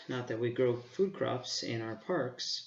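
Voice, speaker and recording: Speaking at a medium pitch and a fairly slow pace, a man uses a normal speaking voice. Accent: American. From Arizona, Phoenix area. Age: 40s. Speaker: park manager and student. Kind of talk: self-introduction.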